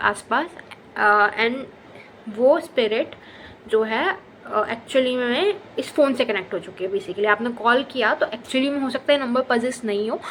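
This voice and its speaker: Moderate pace and ordinary pitch variation. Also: woman. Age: 20s. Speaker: lifestyle vlogger. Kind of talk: storytelling. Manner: casual, many fillers.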